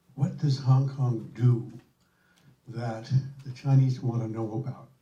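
A man speaks at medium pitch with a dark, mellow tone. His delivery is somewhat breathy, with fairly even intonation. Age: old. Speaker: former ambassador, audience member.

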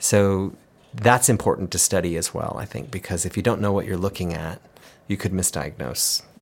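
In a very clean recording with a silent background, a man uses a normal speaking voice. His pitch is fairly low with ordinary variation, and his pace is moderate. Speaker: cochlear implant company manager, former school principal and hearing specialist. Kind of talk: interview conversation.

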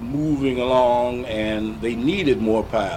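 A man with an American accent speaks at a very slow pace. Audible room echo and noticeable background noise surround him. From St. Louis, Missouri (US Midwest). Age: 60s. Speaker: war veteran and retired school principal. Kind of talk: 1980s oral history interview, elder recounting WWII pilot training memories. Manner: unhurried and reflective, with frequent 'uh' hesitations.

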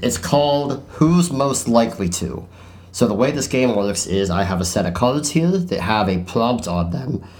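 A man talks at a medium pitch with very wide pitch swings amid noticeable background noise. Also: moderate pace. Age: 20s. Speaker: podcast host. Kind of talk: casual chat. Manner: animated.

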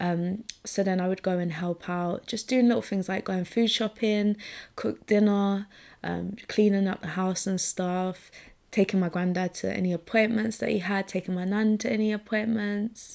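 At a moderate pace and medium pitch, a woman speaks in a monotone, flat intonation on a very clean recording with a silent background. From Essex, England. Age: 20s. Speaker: podcast host, photographer and director. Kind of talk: casual personal monologue.

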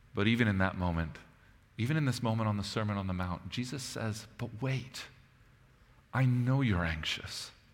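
A man's medium-pitched voice at a moderate pace, with long, frequent pauses, ordinary pitch variation and audible room echo. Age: 30s. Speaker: pastor. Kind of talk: sermon.

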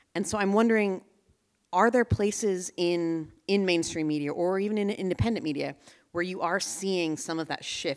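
A woman in a plain, everyday voice, with ordinary pitch variation at a moderate pace, on a very clean recording with a silent background. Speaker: editor and event moderator. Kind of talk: onstage interview. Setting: stage with audience. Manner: frequent fillers and repetitions.

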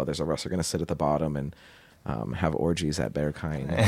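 Talking at a very fast pace, a man with an American accent uses a very deep, low pitch with vocal fry. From Portland, Oregon suburbs. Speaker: podcast co-host. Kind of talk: casual chat.

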